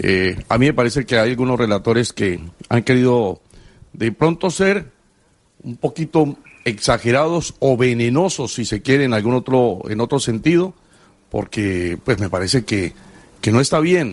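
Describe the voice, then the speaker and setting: In a normal speaking voice, the speaker talks at a fairly slow pace with lively intonation. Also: man, medium pitch for a man. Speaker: sports radio co-host. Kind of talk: sports talk radio.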